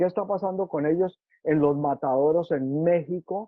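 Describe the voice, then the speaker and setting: A man with a high pitch speaks at a fairly slow pace in an animated tone, with ordinary pitch variation. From Colombia. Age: 70s. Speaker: musician and record producer. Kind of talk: interview conversation.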